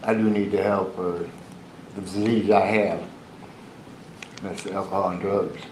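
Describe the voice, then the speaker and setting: Talking at a fairly slow pace in a flat monotone, a man leaves long, frequent pauses, with noticeable background noise and audible room echo. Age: 60s. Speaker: defendant. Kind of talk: courtroom statement. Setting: courtroom. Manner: halting.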